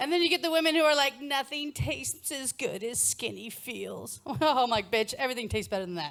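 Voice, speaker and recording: A woman with an American accent and a high pitch speaks at a fairly quick pace with lively intonation while music plays in the background. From United States. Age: middle-aged. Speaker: stand-up comedian. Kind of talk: stand-up comedy set. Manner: loud, blunt.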